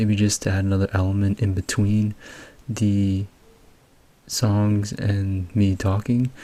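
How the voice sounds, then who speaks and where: A man speaks quietly at a fairly slow pace, his fairly low voice held in a monotone with flat intonation. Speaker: music producer and YouTube music analyst. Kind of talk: music breakdown commentary. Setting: at home. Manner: quiet, low volume.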